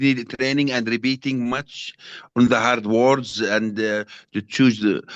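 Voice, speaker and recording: Spoken in a Jordanian accent, the voice sounds dry and close, with no echo. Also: man. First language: Arabic. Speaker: trainee teacher. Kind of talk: class discussion. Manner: halting, stammering.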